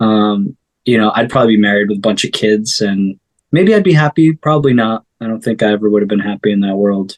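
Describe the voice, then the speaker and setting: A man speaks with an American accent and ordinary pitch variation. The sound is dry and close, with no echo. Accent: sounds American. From upstate New York. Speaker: singer-songwriter. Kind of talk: interview conversation. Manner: casual, hesitant with filler words.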